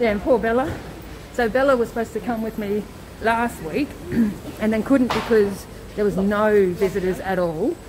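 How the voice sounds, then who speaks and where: Noticeable background noise sits behind a woman with an Australian accent. Her voice is fairly high, with ordinary pitch variation. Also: moderate pace. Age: 40s. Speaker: vlogger, cancer patient and nurse. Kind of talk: casual live-stream chat. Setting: hospital, walking through corridors. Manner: loud.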